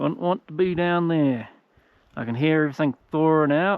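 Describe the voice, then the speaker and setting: A man with a fairly high pitch talks at a moderate pace, his pitch varying in an ordinary way. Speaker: travel vlogger. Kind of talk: casual vlog narration. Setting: outdoors. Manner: loud.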